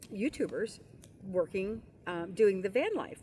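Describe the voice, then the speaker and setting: A woman in an ordinary speaking voice, at a fairly slow pace with lively intonation. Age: 60s. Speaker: retired van dweller. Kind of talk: casual chat.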